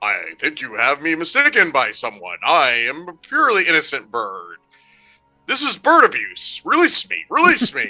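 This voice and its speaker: A man performs a put-on character voice at a moderate pace. Faint music plays in the background. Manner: mock-innocent, pleading.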